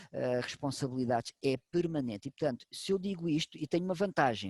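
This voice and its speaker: A man with a fairly high pitch speaks at a moderate pace with lively intonation. The sound is dry and close, with no echo. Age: 60s. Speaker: medical doctor. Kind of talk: expert talk to online audience. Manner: animated.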